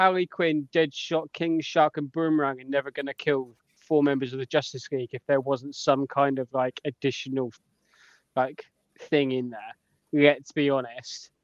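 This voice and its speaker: This man's British accent comes across in a dry, close sound with no echo. His fairly high pitch holds a fairly even intonation at a moderate pace, though his loudness swings widely. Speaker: podcast co-host. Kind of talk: casual banter podcast.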